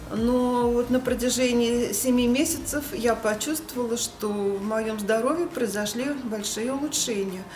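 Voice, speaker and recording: In a room with audible echo and noticeable background noise, a woman talks at a high pitch with ordinary pitch variation. Her pace is fairly slow, yet she hardly pauses. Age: 60s. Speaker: fitness club member. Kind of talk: testimonial.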